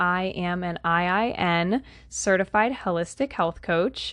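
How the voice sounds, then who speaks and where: This woman has a plain, everyday voice, pitched fairly low. The background is quiet. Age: 20s. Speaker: holistic health coach and podcast host. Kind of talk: solo podcast monologue.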